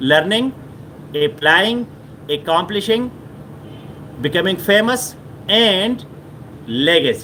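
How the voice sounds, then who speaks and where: Speaking with a Pashto accent, a man talks at a very slow pace in a high voice with lively intonation, long, frequent pauses and noticeable background noise. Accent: Pashto-accented South Asian English. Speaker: motivational speaker. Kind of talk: motivational talk. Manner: repetitive with frequent fillers.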